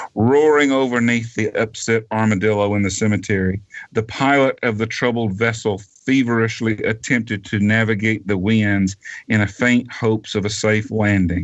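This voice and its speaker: With a Southern US accent, a man speaks at a fairly low pitch. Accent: Southern drawl. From US South (Georgia). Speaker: author. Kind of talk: reading aloud; interview. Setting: radio show.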